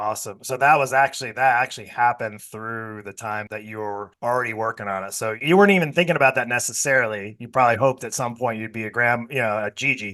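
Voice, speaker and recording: Very fast and with hardly any pauses, a man talks at a medium pitch. His pitch varies in an ordinary way. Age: 50s. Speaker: podcast host and fitness coaching business owner. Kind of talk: interview. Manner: animated.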